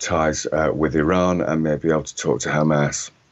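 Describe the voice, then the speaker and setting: The man's voice is very deep and low in pitch, with fairly even intonation. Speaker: former correspondent and author. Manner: hesitant, filler-heavy.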